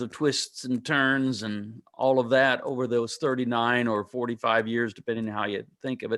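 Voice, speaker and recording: In an unremarkable speaking voice, a man at medium pitch talks at a moderate pace with fairly even intonation, on a very clean recording with a silent background. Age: 60s. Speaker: pastor and author. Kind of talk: interview.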